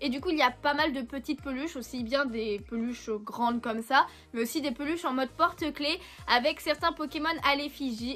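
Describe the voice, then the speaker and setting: With music in the background, a woman speaks at a moderate pace in a high voice with ordinary pitch variation. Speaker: YouTuber, manga and Pokémon collector. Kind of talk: unboxing video, casual talk to viewers. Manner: hesitant, many fillers.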